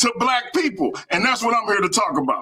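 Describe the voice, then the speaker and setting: A man's raised, projected voice, extremely high in pitch, with very wide pitch swings. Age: 40s. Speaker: debate guest, streamer. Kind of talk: heated debate. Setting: live stream.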